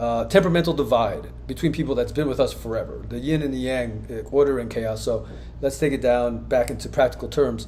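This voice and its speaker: A man talks at a fairly quick pace. Room echo is audible. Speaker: crypto commentator, former company owner. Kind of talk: video monologue on crypto markets. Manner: fast.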